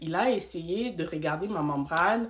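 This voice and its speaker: In a normal speaking voice, a woman at medium pitch moves at a fairly slow pace with lively intonation. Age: 20s. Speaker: vlogger sharing birth story. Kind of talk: storytime monologue. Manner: conversational, filler-heavy.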